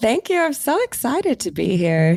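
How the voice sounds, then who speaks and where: A woman with an American accent at a moderate pace, very wide pitch swings, a dry, close sound with no echo, and a very clean recording with a silent background. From US Midwest (Ohio). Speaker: psychotherapist and yoga teacher. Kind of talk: podcast interview.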